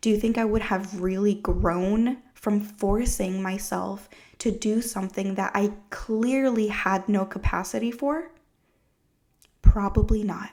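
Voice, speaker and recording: A woman with an American accent speaks at a medium pitch. Her pace is fairly slow and her intonation fairly even. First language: Spanish. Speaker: podcast host, trauma therapist. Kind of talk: solo podcast talk.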